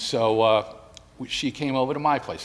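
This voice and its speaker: Audible room echo carries the voice of a man with an American accent. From New York City, the Bronx. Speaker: widower giving eulogy. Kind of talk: eulogy. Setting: church memorial service. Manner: conversational, storytelling.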